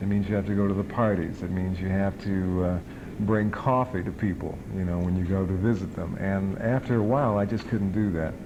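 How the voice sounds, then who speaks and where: A man with an American accent, a fairly low pitch, and a fairly quick pace, amid audible room echo. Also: fairly even intonation. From Chicago. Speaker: TV movie host and radio disc jockey. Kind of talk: interview.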